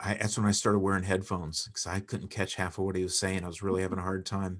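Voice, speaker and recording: A man's very deep, low voice at a very fast pace, flat and monotone, on a very clean recording with a silent background. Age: 40s. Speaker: podcast guest, sales coach. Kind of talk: casual chat.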